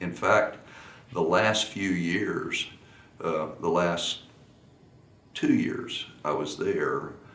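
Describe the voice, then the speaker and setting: A man talks amid clear background noise, his voice echoing audibly off the room. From Texas. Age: 60s. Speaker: polo coach. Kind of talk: interview. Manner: halting.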